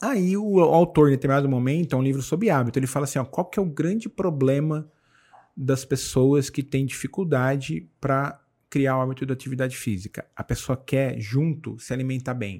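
A man speaks at a moderate pace in a dark, mellow tone, fairly high in pitch with ordinary variation. The recording is very clean, with a silent background. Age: 40s. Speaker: tech executive and book content creator. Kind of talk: podcast interview.

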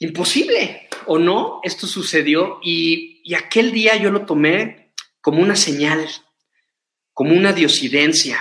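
Speaking at a very slow pace, a man with a high pitch uses a bright, sharp tone and ordinary pitch variation. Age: 40s. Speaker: mountaineer and motivational speaker. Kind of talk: motivational talk.

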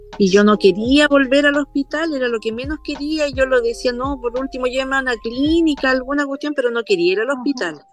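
A high-pitched woman talking fairly quickly with hardly any pauses, over noticeable background noise. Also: ordinary pitch variation. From northern Chile. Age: 50s. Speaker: small business owner. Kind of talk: casual chat.

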